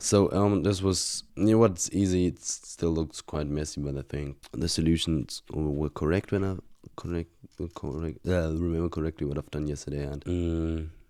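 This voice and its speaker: This man has a very deep, low voice with a dark, mellow tone. He speaks at a moderate pace with fairly even intonation. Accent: German. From Germany. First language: German. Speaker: university student. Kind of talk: casual vlog, reviewing exam solutions. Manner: halting, many fillers and restarts.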